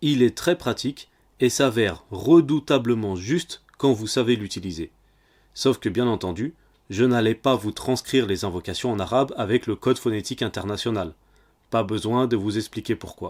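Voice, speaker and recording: At a moderate pace and medium pitch with ordinary variation, a man speaks in a plain, everyday voice, recorded dry and close with no echo on a very clean track with a silent background. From French-speaking country. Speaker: religious teacher. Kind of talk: tutorial. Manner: formal.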